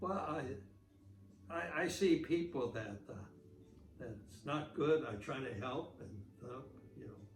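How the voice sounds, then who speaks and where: Music plays in the background as a man speaks at a very slow pace with a medium pitch, lively intonation, big swings in loudness, and long, frequent pauses. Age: 80s+. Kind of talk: interview answer.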